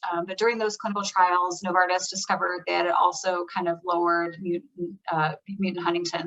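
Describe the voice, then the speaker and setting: A woman speaks at a medium pitch. Her intonation is fairly even. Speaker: medical presenter on clinical trials. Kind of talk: educational talk. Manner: fast; hesitant, many fillers.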